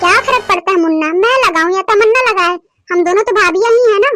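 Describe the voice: A woman's cartoonish character voice, extremely high-pitched, at a fairly quick pace.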